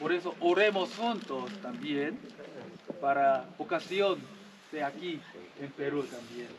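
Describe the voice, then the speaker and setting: In a Korean accent, a man with a fairly high pitch speaks very slowly with long, frequent pauses, amid noticeable background noise and audible room echo. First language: Korean (speaking Spanish). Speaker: missionary priest. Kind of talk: homily to rural congregation. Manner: simple, repetitive broken Spanish.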